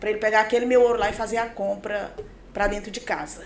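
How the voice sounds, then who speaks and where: There is audible room echo around a woman's voice. Her pitch is fairly high. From Pará, Brazil (born in Maranhão). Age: 40s. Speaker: pastor and businesswoman. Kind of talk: podcast interview, life story.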